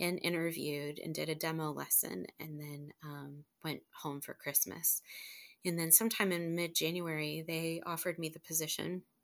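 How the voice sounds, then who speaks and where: A woman's very deep, low voice comes through a very clean recording with a silent background. Her intonation is monotone and flat at a moderate pace. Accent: American. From northern Ohio, Lake Erie area. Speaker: teacher. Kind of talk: life story interview.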